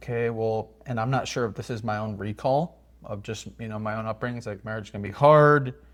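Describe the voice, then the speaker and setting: Speaking very fast, a man keeps his medium pitch in fairly even intonation. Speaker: married couple podcast co-host. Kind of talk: casual chat. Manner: loud; halting.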